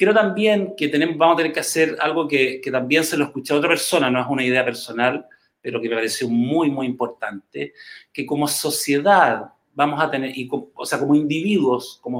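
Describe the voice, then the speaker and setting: A man with a Chilean accent talks at a fairly quick pace, his fairly high pitch showing ordinary variation. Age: 50s. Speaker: clinical psychologist. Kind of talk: interview.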